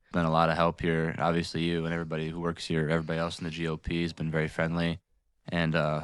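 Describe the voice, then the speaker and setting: A man with an Upper Midwest accent talks at a very fast pace. His pitch is very deep and low, and the recording is very clean with a silent background. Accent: Upper Midwest American. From Michigan, Jackson. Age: 20s. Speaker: local political group president. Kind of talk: casual interview. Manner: hesitant, many fillers.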